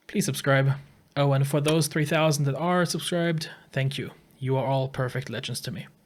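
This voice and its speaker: At a moderate pace, a man speaks in a fairly high, somewhat breathy voice, in a very clean recording with a silent background. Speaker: gaming YouTuber. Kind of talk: opinion video commentary. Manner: monotone.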